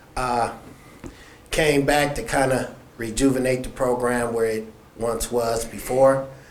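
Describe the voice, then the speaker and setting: Audible room echo fills the recording. A man speaks at a medium pitch. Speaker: high school basketball coach. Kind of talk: press event speech. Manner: soft-spoken.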